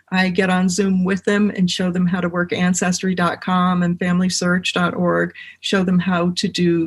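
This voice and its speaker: A woman with an American accent speaks at a moderate pace in a medium-pitched, somewhat breathy voice. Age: 60s. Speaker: genealogist and medium. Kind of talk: podcast interview.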